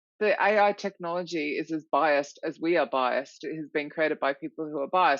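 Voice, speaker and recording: With an Australian accent, a woman speaks at a very deep, low pitch. Her pace is fairly quick, and her pitch varies in an ordinary way. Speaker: recruitment author and consultant. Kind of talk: podcast interview. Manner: animated.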